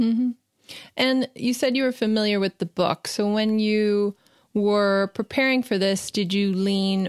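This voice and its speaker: In a normal speaking voice, a woman talks at a fairly slow pace with a medium pitch and ordinary pitch variation, the sound dry and close with no echo. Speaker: entertainment journalist interviewer. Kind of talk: interview questions, podcast host.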